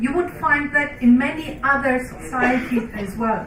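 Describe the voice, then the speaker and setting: A woman's high voice with a non-native accent, ordinary pitch variation and moderate pace, amid audible room echo and music in the background. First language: not English. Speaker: researcher. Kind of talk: panel discussion.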